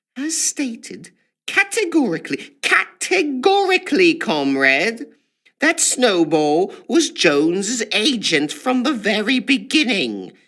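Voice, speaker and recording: A man does a put-on character voice at an extremely high pitch, with very wide pitch swings. He speaks at a fairly slow pace. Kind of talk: formal, pompous. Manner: slow, firm, emphatic.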